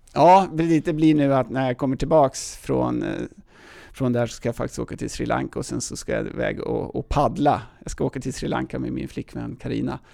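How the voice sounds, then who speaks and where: A man at a moderate pace with a strong Stockholm accent. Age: 50s. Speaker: outdoor event organizer. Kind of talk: casual interview.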